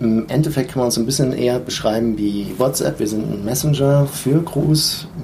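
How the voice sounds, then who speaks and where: Noticeable background noise sits behind a man speaking at a moderate pace with hardly any pauses. His pitch is medium, with ordinary variation. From Germany, Mainz area. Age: 30s. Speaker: airline co-pilot and app founder. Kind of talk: interview. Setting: recorded on location in the USA.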